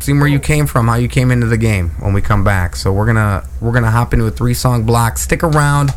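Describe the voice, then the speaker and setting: A man with a fairly low pitch races along at a very fast pace with hardly any pauses and very wide pitch swings, with noticeable background noise behind him. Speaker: radio host. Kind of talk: casual chat. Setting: studio.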